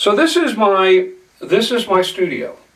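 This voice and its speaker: A man talks while noticeable background noise runs beneath him. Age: 60s. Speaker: local TV show host and video maker. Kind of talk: casual behind-the-scenes talk. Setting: home studio. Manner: unscripted, halting with fillers.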